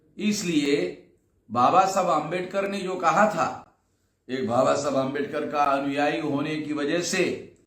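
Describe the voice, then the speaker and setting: Heard with audible room echo, a man speaks at a fairly high pitch with ordinary pitch variation. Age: 60s. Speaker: activist and organization leader. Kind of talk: recorded video address to a gathering.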